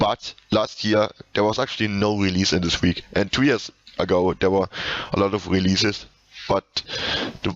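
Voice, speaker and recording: A man with a German accent, a fairly low pitch and a moderate pace. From Germany. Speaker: video game reviewer / podcast host. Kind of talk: casual video game review commentary. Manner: halting, many repetitions and fillers.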